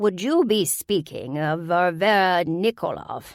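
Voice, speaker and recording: This put-on character voice sounds female, sitting at medium pitch for a woman. It cackles and moves at a fairly slow pace. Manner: cackling.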